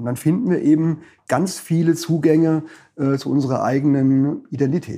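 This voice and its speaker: The tone is dark and mellow. It belongs to a man. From Palatinate, Germany (Frankenthal). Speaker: dialectologist and publisher. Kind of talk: interview conversation.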